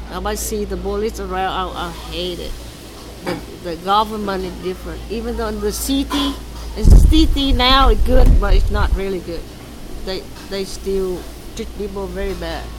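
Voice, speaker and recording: A woman speaks with big swings in loudness. Noticeable background noise runs behind her. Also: moderate pace. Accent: Vietnamese. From Vietnam. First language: Vietnamese. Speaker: refugee interviewee. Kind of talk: interview. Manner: halting.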